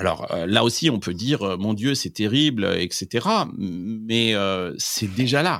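Speaking at a very slow pace, a man with a fairly low pitch and lively intonation is heard on a very clean recording with a silent background. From France, Limousin. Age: 40s. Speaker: tech trend expert. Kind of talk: interview. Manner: halting, many fillers.

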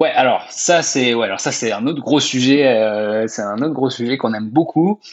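Speaking at a moderate pace with hardly any pauses, a man uses a medium pitch with ordinary pitch variation. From France. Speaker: software company co-founder. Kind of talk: interview. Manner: hesitant, many fillers.

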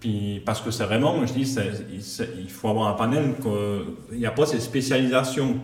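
Amid noticeable background noise and audible room echo, a man speaks at a moderate pace and medium pitch with ordinary pitch variation. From Switzerland, Valais. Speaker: property manager. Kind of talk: casual chat.

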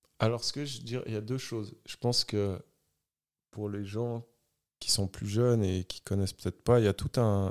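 A man whose pitch sits fairly low talks at a moderate pace, captured on a very clean recording with a silent background. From Switzerland, Geneva area. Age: 40s. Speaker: DJ. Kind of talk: casual interview chat. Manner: casual, many fillers.

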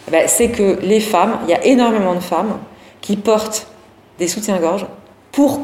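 Over noticeable background noise and audible room echo, a woman speaks at a fairly slow pace with a fairly high pitch and ordinary pitch variation. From Lorraine, France (Thionville). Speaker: lingerie brand founder and CEO. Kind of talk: interview.

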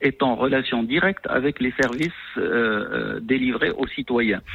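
A man's fairly slow delivery comes through with noticeable background noise behind it. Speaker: head of an anti-corruption authority. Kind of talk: radio interview.

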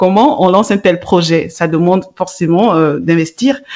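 This is an ordinary speaking voice at a moderate pace. Its pitch varies in an ordinary way. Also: woman. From Africa. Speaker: podcast host, radio and TV presenter. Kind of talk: interview.

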